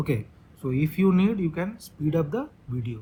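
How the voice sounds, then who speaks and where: Fairly high-pitched and somewhat breathy, a man's voice. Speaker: maths teacher. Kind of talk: lecture. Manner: halting.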